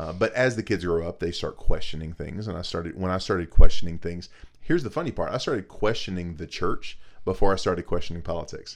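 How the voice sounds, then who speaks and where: A man talks at a very fast pace with big swings in loudness. The recording is very clean, with a silent background. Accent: American. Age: 30s. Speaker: podcast co-host. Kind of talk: casual chat.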